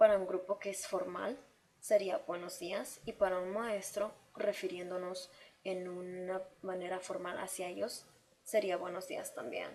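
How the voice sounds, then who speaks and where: This woman talks at a fairly slow pace in a medium pitch with monotone, flat intonation. Noticeable background noise is present. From Mexico City, later Chicago. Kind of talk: class presentation.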